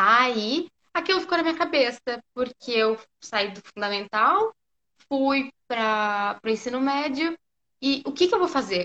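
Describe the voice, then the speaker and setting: A woman's bright, sharp tone moves through very wide pitch swings. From southern Brazil, Porto Alegre. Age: 20s. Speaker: physiotherapy student. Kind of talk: casual interview on a live stream.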